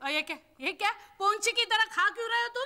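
A woman's cartoonish character voice, extremely high-pitched, bright and sharp, at a fast pace. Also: ordinary pitch variation.

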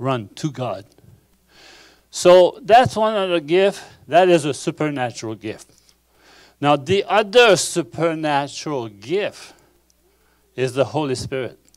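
A man with a Quebec accent speaks at a fairly slow pace, with big swings in loudness, very wide pitch swings and long, frequent pauses, against a quiet background. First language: French. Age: 60s. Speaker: pastor. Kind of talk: sermon. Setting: church. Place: church. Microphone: handheld.

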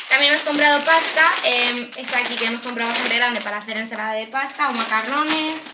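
Very fast speech from a woman, with noticeable noise in the background. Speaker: vlogger. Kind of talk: casual vlog chat. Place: kitchen. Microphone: camera far.

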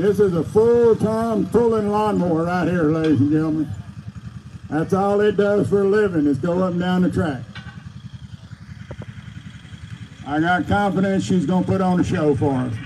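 Over noticeable background noise, the speaker goes at a moderate pace with ordinary pitch variation and long, frequent pauses. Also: man, high pitch for a man. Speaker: event announcer. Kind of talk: live event commentary. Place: open country.

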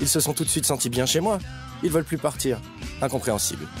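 Very fast speech with music in the background. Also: man, fairly high pitch for a man, ordinary pitch variation, very even loudness. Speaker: voice actor. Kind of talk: TV commercial read. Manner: humorous, casual, storytelling.

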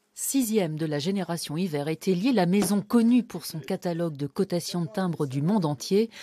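A woman with a dark, mellow tone and lively intonation is heard on a very clean recording with a silent background. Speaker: TV news reporter. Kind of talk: scripted news report narration.

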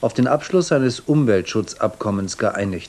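The tone is dark and mellow, with lively intonation. Delivery comes at a moderate pace. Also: man. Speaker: news presenter. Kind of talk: TV news broadcast reading. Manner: formal, measured. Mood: calm, formal, neutral. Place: studio. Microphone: lapel.

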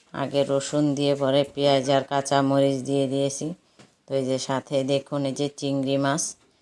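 Here a woman speaks with a very deep, low pitch and a dark, mellow tone. Her intonation is monotone and flat, and her loudness very even. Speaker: cooking vlogger. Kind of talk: cooking tutorial.

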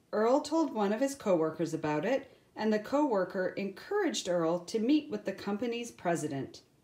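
This is a natural reading voice. It is heard reading aloud.

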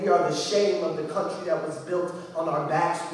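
In a room with strong echo, a man speaks at a fairly quick pace in a monotone, flat intonation with high pitch. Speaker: poet. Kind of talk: spoken word poetry performance. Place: hall. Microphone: camera far.

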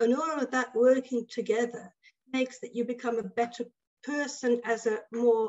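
Against a quiet background, a woman talks in a high pitch. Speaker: choral conductor and researcher. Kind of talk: webinar presentation. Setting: video call. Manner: halting. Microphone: video call.

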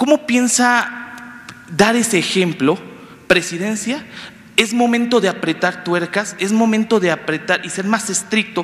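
This man's voice sits at a high pitch. He talks at a fairly slow pace. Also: ordinary pitch variation. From Campeche, Mexico. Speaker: journalist. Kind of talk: press conference question. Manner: formal. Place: hall. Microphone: handheld.

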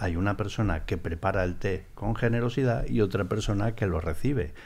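Here a man has a fairly low pitch and an unremarkable speaking voice. He talks at a moderate pace. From Spain. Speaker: former paparazzi, tea house owner; podcast guest. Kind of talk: casual interview. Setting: tea house. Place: studio. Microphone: studio mic.

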